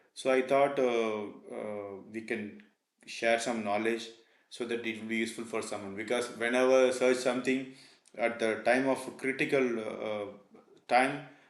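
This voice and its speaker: A man talks at medium pitch in a monotone, flat way, leaving long, frequent pauses, with audible room echo around him. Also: moderate pace. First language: not English. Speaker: PLC programming tutor. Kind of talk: tutorial. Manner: halting, many fillers.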